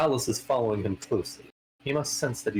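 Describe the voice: The passage is given as plain reading aloud, with a quiet background behind it.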